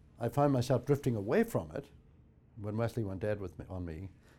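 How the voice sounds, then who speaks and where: The voice has a Northern Irish accent, a dark, mellow tone, and lively intonation. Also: man. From Northern Ireland. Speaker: theology professor. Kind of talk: personal testimony.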